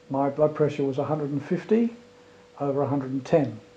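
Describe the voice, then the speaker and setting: Noticeable background noise sits under a man's fairly high voice, which shows ordinary pitch variation. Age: 60s. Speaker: retired airline pilot giving a testimonial. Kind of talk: testimony.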